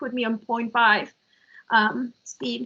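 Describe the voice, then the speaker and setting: Her voice is raised and projected, with a bright, sharp tone. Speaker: software engineering presenter. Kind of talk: technical presentation Q&A. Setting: virtual meeting.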